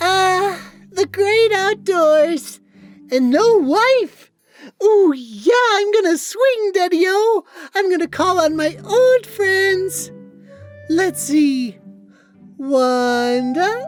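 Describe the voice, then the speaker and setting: In a put-on character voice, a man speaks at a very slow pace with long, frequent pauses while music plays in the background. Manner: exaggerated, comedic.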